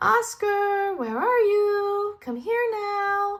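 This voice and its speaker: A woman's squeaky, put-on character voice at an extremely high pitch, with ordinary pitch variation and a very slow pace. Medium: read story.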